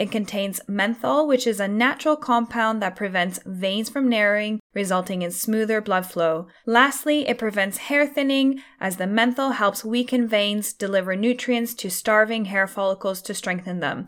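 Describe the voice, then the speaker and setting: An unremarkable speaking voice belongs to a woman with a fairly high pitch. She keeps a moderate pace with ordinary pitch variation and hardly any pauses. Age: 30s. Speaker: hair care podcaster. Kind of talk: product review. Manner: scripted reading.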